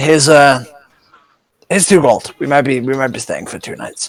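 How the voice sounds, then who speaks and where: A man puts on a raspy character voice at a fairly high pitch. He holds a moderate pace with fairly even intonation. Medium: actual play. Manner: friendly, eager.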